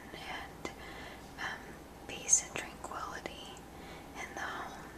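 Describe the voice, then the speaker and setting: Whispering, a woman speaks in a relaxed tone. Noticeable background noise is present. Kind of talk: ASMR show and tell. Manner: whispered; soft-spoken, relaxed.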